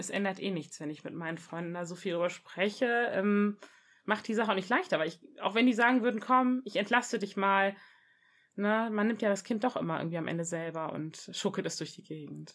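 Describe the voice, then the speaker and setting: With an ordinary speaking voice, a woman talks at a fairly quick pace with ordinary pitch variation and big swings in loudness, on a very clean recording with a silent background. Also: medium pitch for a woman. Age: 30s. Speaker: mother sharing birth experience. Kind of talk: interview testimony.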